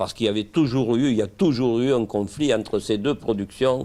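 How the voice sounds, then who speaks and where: Here a man speaks at a medium pitch with ordinary pitch variation. The recording is very clean and the background silent. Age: 60s. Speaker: winegrower. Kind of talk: interview. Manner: halting.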